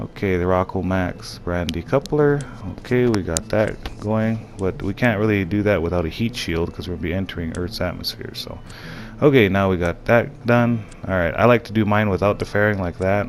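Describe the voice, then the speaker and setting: A man's very deep, low voice with ordinary pitch variation, over noticeable background noise. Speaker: gaming tutorial maker. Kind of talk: tutorial. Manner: fast; casual, halting.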